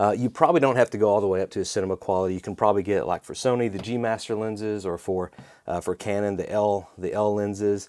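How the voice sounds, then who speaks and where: A man with a fairly low voice talks at a very fast pace. The recording is very clean with a silent background, and the sound is dry and close with no echo. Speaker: wedding videographer and YouTube educator. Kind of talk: casual video talk to camera. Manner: many fillers and restarts.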